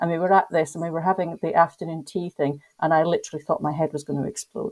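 With a Scottish accent, a woman speaks at a fairly low pitch in a dark, mellow tone with ordinary pitch variation, in a dry, close sound with no echo. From Scotland. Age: 50s. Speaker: tour company owner. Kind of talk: casual chat.

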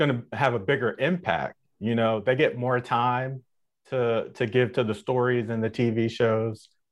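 A man in a normal speaking voice with an American accent, at a medium pitch and moderate pace. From Minneapolis, Minnesota. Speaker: Air Force veteran, podcast panelist. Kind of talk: roundtable discussion. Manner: frequent filler words (uh).

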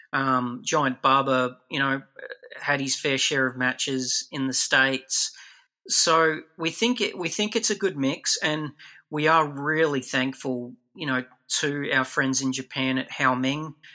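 In an Australian accent, this voice has a bright, sharp tone, a fairly slow pace and ordinary pitch variation on a very clean recording with a silent background. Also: man, fairly high pitch for a man. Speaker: toy collector and figure producer. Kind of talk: interview.

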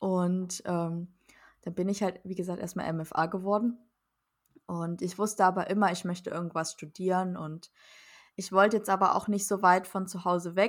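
On a very clean recording with a silent background, a woman at medium pitch talks at a moderate pace in a flat monotone, with long, frequent pauses. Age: 20s. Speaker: podcast co-host, physician assistant. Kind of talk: casual chat.

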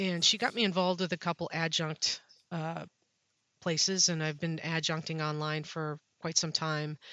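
Fairly low-pitched female speech, moderately paced, its intonation fairly even. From Wisconsin, US Midwest. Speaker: safety professional, university program leader.

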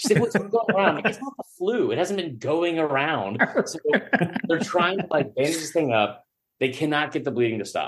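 Here a man talks at a high pitch and a moderate pace. His pitch swings very widely. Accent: American. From Georgia, US. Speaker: sports media writer and podcaster. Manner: animated, profane.

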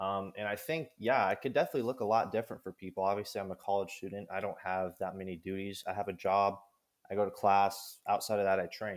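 A man with a fairly low pitch speaks very fast with an American accent and fairly even intonation. The recording is very clean, with a silent background. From Kansas. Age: 20s. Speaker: college athlete and strength coach. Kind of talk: casual chat.

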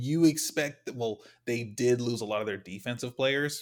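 This man has an unremarkable speaking voice with ordinary pitch variation. He speaks at a fairly slow pace on a very clean recording with a silent background. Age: 20s. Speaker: sports podcast co-host. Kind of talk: casual chat.

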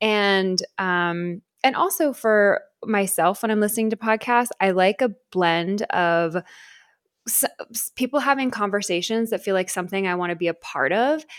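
With a very clean recording, a silent background and a dry, close sound with no echo, a woman talks in an ordinary speaking voice at a medium pitch and moderate pace, her intonation lively. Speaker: podcast host. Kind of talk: casual chat.

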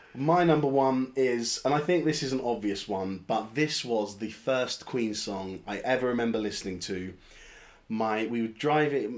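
Ordinary pitch variation runs through a man's speech at a medium pitch. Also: moderate pace. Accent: London. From London. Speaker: podcast host. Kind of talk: casual chat.

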